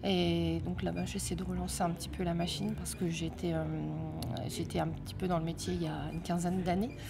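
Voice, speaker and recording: With music in the background and audible room echo, a woman speaks at a moderate pace. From northern France, Amiens (Somme). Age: 30s. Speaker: singer. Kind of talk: interview. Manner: hesitant, many fillers.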